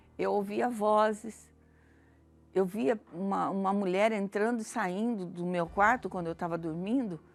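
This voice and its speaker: A woman at medium pitch, ordinary pitch variation and a fairly slow pace, with music in the background. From Brazil, Campinas, São Paulo. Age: 60s. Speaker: church member giving testimony. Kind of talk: testimony.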